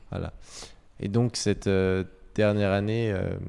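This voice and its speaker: A man's dark, mellow, fairly low-pitched voice at a fairly slow pace, on a very clean recording with a silent background. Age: 20s. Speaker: business school graduate. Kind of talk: testimony.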